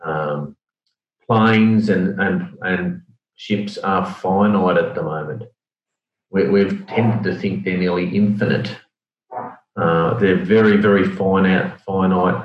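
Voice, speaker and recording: Fairly low in pitch, a man with an Australian accent speaks at a very slow pace with long, frequent pauses and fairly even intonation. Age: 50s. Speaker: logistics executive. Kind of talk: interview.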